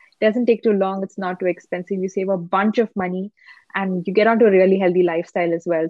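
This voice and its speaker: A woman's medium-pitched voice with fairly even intonation, an ordinary speaking voice. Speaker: Instagram content creator. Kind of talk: casual podcast interview.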